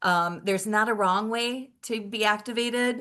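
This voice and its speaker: A woman with an American accent and a bright, sharp tone speaks with ordinary pitch variation over a quiet background. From Michigan. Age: 50s. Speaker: wellness product distributor. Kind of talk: webinar presentation.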